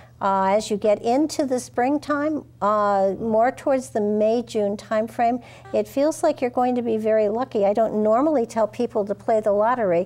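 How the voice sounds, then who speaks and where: A woman's fairly high-pitched voice at a moderate pace, ordinary pitch variation, very even loudness and hardly any pauses. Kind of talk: call-in psychic readings. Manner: halting.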